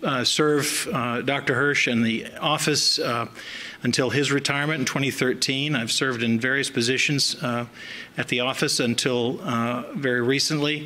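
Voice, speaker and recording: A man with an American accent, medium pitch and fairly even intonation, moderate pace and very even loudness, over noticeable background noise. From US South. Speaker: chief medical examiner. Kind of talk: public speech. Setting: podium at symposium. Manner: hesitant, many fillers.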